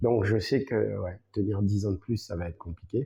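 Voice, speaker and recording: Against a quiet background, a man speaks with a fairly low pitch and a dark, mellow tone that is somewhat breathy. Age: 40s. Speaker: salsa dancer and teacher. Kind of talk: podcast interview. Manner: hesitant, many fillers.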